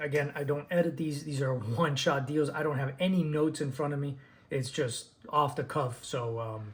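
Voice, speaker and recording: A somewhat breathy male voice at a moderate pace, with fairly even intonation. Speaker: DJ and speaker reviewer. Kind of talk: unscripted product review video. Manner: halting, many fillers and repeats.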